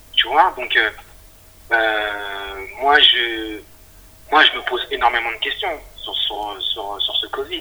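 Against music in the background, a man speaks at a very slow pace with long, frequent pauses. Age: 40s. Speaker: IT technician. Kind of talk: casual interview. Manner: halting.

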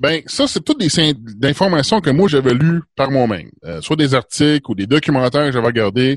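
A man's fairly high voice, dry and close with no echo, at a moderate pace with lively intonation. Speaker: podcaster. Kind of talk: casual chat.

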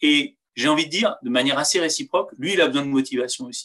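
The man's voice is fairly high-pitched, with a bright, sharp tone. He talks at a fairly quick pace with fairly even intonation. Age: 40s. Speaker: former military pilot and squad leader. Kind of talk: interview. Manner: halting, with fillers.

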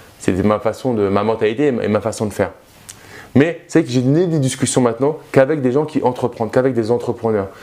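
A man talks at a fairly quick pace in an animated tone. His pitch varies in an ordinary way. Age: 30s. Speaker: youtuber, former banker, property investor. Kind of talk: vlog monologue to camera. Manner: casual, animated.

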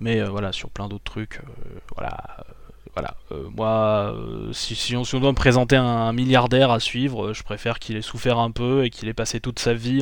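At a medium pitch, a man speaks at a moderate pace with fairly even intonation. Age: 20s. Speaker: YouTuber. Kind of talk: casual chat. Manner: halting.

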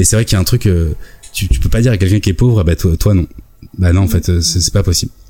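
Very fast speech broken by long, frequent pauses, with very even loudness, ordinary pitch variation and noticeable background noise. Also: man, very deep, low pitch for a man. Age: 40s. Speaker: YouTube video maker. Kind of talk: casual chat.

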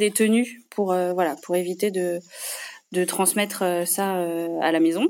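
A woman speaks at a very slow pace. Her pitch is medium and her intonation fairly even. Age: 30s. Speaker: general practitioner. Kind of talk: interview testimony. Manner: hesitant, many fillers.

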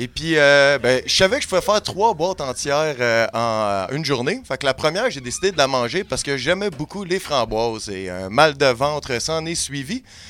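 Lively intonation carries an ordinary speaking voice at a moderate pace, with hardly any pauses. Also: man, fairly high pitch for a man. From Quebec, Montreal. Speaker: comedy podcast columnist. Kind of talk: humorous storytelling. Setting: studio.

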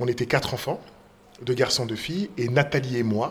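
Using a medium pitch and ordinary pitch variation, a man talks at a moderate pace. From Paris region, France. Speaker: school director and stage author-actor. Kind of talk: interview.

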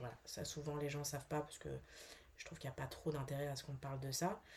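Speaking at a fairly quick pace, a woman has a very deep, low pitch and a dark, mellow tone that is somewhat breathy. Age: 40s. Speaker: actress, bereaved mother. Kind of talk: testimony. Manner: halting, many hesitations.

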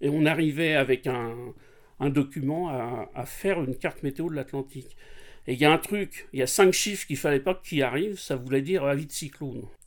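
A man talks at a fairly quick pace. His pitch variation is ordinary, and the recording is very clean with a silent background. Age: 60s. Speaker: sailor recounting an Atlantic crossing. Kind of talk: casual storytelling interview. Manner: hesitant, many fillers and repetitions.

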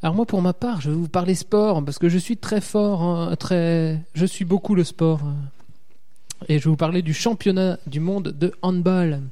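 A man with a high pitch speaks at a fairly slow pace. His tone is dark and mellow. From southern Alsace. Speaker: podcaster. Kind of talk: casual chat.

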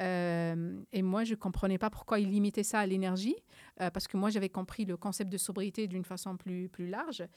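A plain, everyday voice moves at a moderate pace with fairly even intonation on a very clean recording with a silent background. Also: woman, medium pitch for a woman. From Algeria, Algiers. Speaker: climate scientist. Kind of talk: interview.

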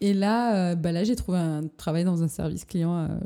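A woman's dark, mellow tone at a fairly low pitch. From southern France, Perpignan. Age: 20s. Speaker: photographer. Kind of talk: casual interview. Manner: hesitant, many fillers.

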